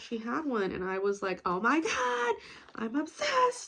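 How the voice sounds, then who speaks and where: Noticeable background noise sits behind a woman's voice. She talks at a fairly slow pace with fairly high pitch and lively intonation. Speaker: vlogger. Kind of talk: casual chat. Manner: sarcastic-sounding even when enthusiastic.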